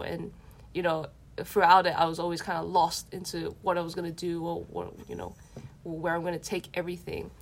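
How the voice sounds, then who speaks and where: A woman speaks in an Australian accent at a moderate pace. Her voice sits fairly low. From Western Sydney, Australia. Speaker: street dancer and DJ. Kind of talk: casual chat.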